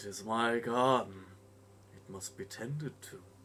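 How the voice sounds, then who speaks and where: A man uses a put-on character voice at a medium pitch. He talks at a moderate pace over clear background noise. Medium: actual play. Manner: calm, measured.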